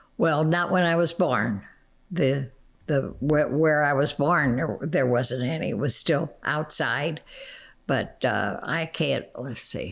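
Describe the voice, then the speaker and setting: In a very clean recording with a silent background, a woman speaks at a very slow pace with a very deep, low pitch, vocal fry, very even loudness and ordinary pitch variation. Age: 80s+. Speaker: interviewee recalling her life. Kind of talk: interview answer.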